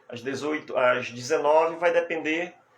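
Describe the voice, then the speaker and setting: A man talks fairly slowly while noticeable noise carries on in the background. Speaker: hypnotherapist and hypnosis teacher. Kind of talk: live stream talk. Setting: live stream. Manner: soft-spoken.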